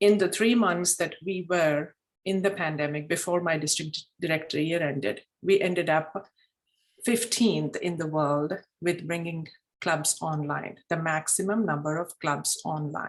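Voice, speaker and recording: Speaking with a Telugu accent, a woman talks at a fairly slow pace, her pitch fairly low with ordinary variation. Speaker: Toastmasters district leader. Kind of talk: group meeting discussion.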